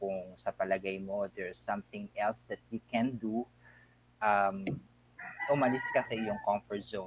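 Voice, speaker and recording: Recorded dry and close with no echo, a man speaks in a medium pitch with ordinary pitch variation. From Philippines, Bataan. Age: 40s. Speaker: school administrator. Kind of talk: interview.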